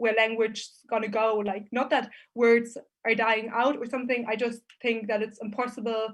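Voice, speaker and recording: Against a quiet background, a woman with a fairly high pitch speaks at a moderate pace in a monotone, flat intonation. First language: German. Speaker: business student. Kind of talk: student conference Q&A.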